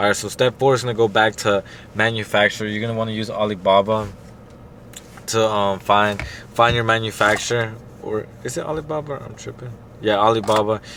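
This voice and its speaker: Delivered at a fairly quick pace with fairly even intonation, the speech has long, frequent pauses and noticeable background noise. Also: man, fairly low pitch for a man. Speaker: clothing brand owner, YouTuber. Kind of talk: tutorial. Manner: fast; casual, hesitant with fillers.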